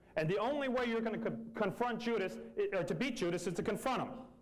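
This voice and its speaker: A man's high voice at a fairly quick pace with ordinary pitch variation, audible room echo and noticeable background noise. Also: long, frequent pauses, very even loudness. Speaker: company manager. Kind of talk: motivational speech. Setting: meeting room with audience. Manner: fast; animated.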